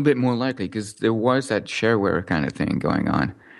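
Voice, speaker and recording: A man talking at a fairly quick pace. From Montreal suburbs, Quebec, Canada (born in Newcastle, England). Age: 30s. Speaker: software developer. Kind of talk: interview.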